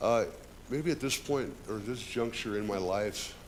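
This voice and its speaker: There is audible room echo. Within it, a man talks at a moderate pace. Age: 60s. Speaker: union carpenter, public commenter. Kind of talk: public comment at council meeting. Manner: unpolished, halting.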